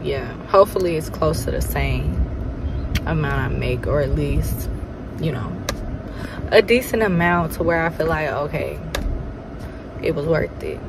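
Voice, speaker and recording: Female speaker with noticeable background noise, the sound dry with no echo. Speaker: vlogger. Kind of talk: casual vlog chat. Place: car. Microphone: phone near.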